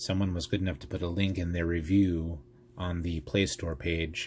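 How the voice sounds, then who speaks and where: This man is soft-spoken, his pitch very deep and low. His voice is somewhat breathy. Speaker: tech YouTuber. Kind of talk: tutorial. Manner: calm.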